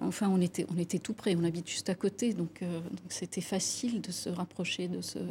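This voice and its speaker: Somewhat breathy, a woman speaks at a moderate pace and medium pitch with fairly even intonation. Her tone is dark and mellow. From Lebanon (Beirut). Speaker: architect. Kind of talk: TV interview. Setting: TV studio. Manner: halting.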